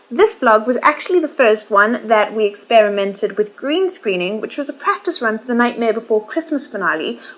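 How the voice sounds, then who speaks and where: A woman's fairly high voice with very wide pitch swings, over noticeable background noise. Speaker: violinist vlogger. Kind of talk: casual vlog.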